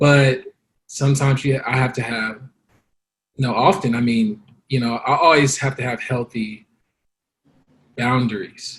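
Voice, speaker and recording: Using long, frequent pauses, a man with an American accent speaks in a medium, somewhat breathy voice. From Los Angeles, South Central. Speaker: guest. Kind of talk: interview testimony. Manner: halting.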